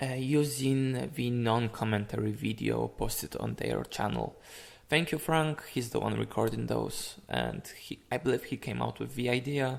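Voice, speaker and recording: A man with a Polish accent is heard on a very clean recording with a silent background. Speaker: fighting game player and commentator. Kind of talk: gameplay analysis commentary. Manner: slow; halting.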